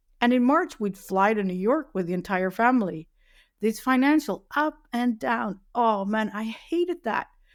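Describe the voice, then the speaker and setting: A woman with a fairly high pitch speaks in a very clean recording with a silent background. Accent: Dutch. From Netherlands. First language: Dutch. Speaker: web accessibility specialist. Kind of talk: interview. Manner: hesitant, many fillers.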